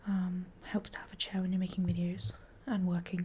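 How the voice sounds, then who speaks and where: Soft-spoken and somewhat breathy, a woman talks at a fairly quick pace. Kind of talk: casual talk to camera, ASMR catch-up.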